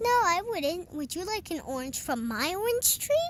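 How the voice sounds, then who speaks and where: A woman uses a put-on character voice at an extremely high pitch with very wide pitch swings. She keeps a moderate pace against clear background noise. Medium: read story.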